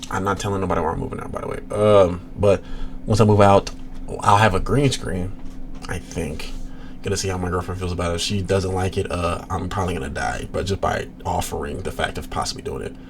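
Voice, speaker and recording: A man's very deep, low voice at a fairly quick pace, with audible room echo and noticeable background noise. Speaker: reaction streamer. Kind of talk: casual chat. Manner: loud; animated.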